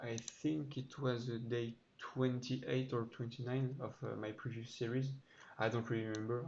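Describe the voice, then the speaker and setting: Audible room echo surrounds a man's somewhat breathy voice. He speaks at a moderate pace with fairly even intonation. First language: not English. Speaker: programmer YouTuber. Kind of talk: code walkthrough tutorial. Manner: halting, many fillers.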